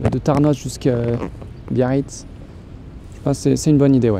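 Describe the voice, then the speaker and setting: Over noticeable background noise, a man speaks at a moderate pace with a medium pitch and monotone, flat intonation. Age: 30s. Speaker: music teacher. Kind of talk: street interview. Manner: hesitant, many fillers.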